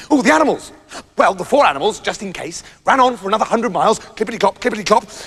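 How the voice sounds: The clip has a natural reading voice whose pitch varies in an ordinary way.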